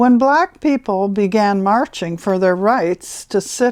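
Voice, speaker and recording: This woman speaks very slowly with an American accent. Her fairly high voice moves with lively intonation. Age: 80s+. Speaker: grandmother reading her letter. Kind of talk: reading aloud.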